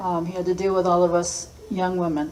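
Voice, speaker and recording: A woman speaks at a medium pitch in an American accent, at a fairly slow pace. Noticeable background noise and audible room echo are present. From Massachusetts, US. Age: 60s. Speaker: school principal. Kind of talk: personal storytelling talk.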